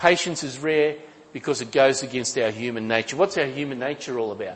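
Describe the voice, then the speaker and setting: This man talks at a fairly quick pace with an Australian accent. His pitch variation is ordinary. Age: 60s. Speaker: pastor. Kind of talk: sermon. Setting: church.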